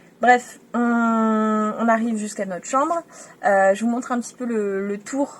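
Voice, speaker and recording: Her delivery moves at a moderate speed. The woman's pitch rises and falls in an ordinary way. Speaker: travel vlogger. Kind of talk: casual vlog narration. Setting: outdoors on a beach at night.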